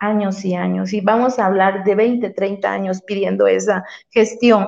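This woman talks at a fairly slow pace. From Veracruz, Mexico. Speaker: community activist. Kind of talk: interview.

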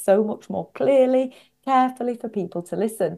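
With a Northwest English accent, a woman talks at a moderate pace with lively intonation. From northwest England. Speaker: executive coach and author. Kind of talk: interview.

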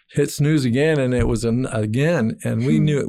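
The recording is very clean, with a silent background. A man talks at a moderate pace, his pitch medium. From Argentina. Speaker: missions pastor. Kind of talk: testimony. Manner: halting.

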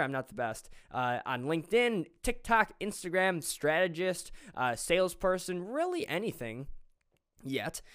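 In a very clean recording with a silent background, a man speaks in an animated tone at a high pitch, his voice swinging very widely up and down. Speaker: podcast host. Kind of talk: solo podcast monologue. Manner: fast talker; excitable, animated.

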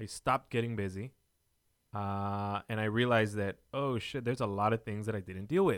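Recorded very cleanly against a silent background, with a dry, close sound and no echo, a man has a normal speaking voice that is fairly low in pitch with fairly even intonation. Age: 20s. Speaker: podcast host. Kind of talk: casual chat.

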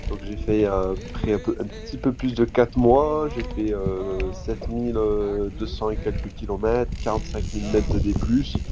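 A man talks very slowly while noticeable background noise is heard. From southwest France (Tarbes, Hautes-Pyrénées). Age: 20s. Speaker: adventure cyclist. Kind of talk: interview. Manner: halting, many fillers.

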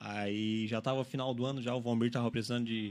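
At a fairly quick pace, a man with an unremarkable speaking voice talks at a medium pitch with fairly even intonation. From Araranguá, Santa Catarina, Brazil. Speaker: store manager. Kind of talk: radio interview. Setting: radio studio.

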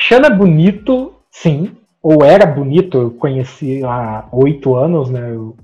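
A man speaks with a plain, everyday voice at a fairly slow pace. His pitch is fairly high, and his intonation is lively. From Brazil, interior of Paraná. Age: 30s. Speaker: sports journalist. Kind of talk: interview.

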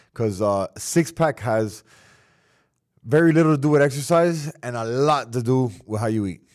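In an American accent, a man with a plain, everyday voice speaks at a moderate pace and medium pitch, his intonation lively, on a very clean recording with a silent background. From Miami, South Florida. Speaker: professional fighter. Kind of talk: casual chat.

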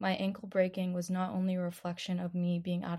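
On a very clean recording with a silent background, a woman speaks fairly quickly in a somewhat breathy, dark, mellow voice, fairly low in pitch with monotone, flat intonation. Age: 20s. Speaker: podcast host. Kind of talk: casual monologue. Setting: home bedroom.

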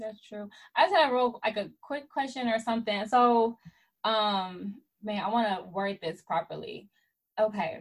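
A somewhat breathy woman with a fairly high pitch speaks at a moderate pace. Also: ordinary pitch variation. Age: 20s. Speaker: podcast host. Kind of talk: casual chat. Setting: video call.

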